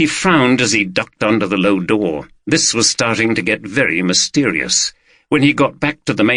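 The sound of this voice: Lively intonation in an unforced reading voice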